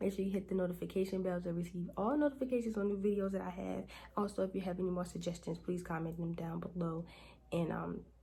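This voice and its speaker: Speaking at a very fast pace, a woman uses a fairly low, somewhat breathy voice with a dark, mellow tone and fairly even intonation. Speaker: beauty and lifestyle youtuber, boutique owner; lifestyle youtuber. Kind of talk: tutorial. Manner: casual. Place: home room. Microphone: phone near.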